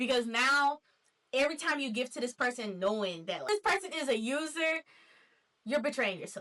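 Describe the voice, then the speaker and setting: A woman with an American accent speaks at a moderate pace in a high, raised and projected voice, her tone bright and sharp and her pitch swinging very widely. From Nashville, Tennessee, USA. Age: 20s. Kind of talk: casual talk to camera.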